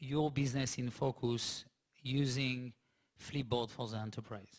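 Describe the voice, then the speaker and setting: Speaking with a French accent, a man keeps his intonation fairly even. His pace is fairly slow, and the recording is very clean with a silent background. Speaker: tech startup CEO. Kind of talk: onstage interview at business summit.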